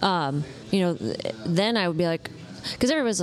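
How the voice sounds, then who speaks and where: Over music in the background, a woman with an American accent talks with very wide pitch swings. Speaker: realtor. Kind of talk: casual interview. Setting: coffee shop. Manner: animated.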